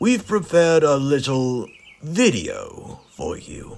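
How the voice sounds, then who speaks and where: Using a put-on character voice, a man talks fairly slowly at a fairly high pitch, his pitch swinging very widely. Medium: audio drama. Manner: formal, authoritative.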